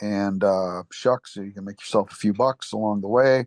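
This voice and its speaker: Monotone, flat intonation marks this man's fairly low voice at a moderate pace. The sound is dry and close with no echo against a quiet background. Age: 70s. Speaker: baseball umpire. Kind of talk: podcast interview. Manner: halting, many fillers.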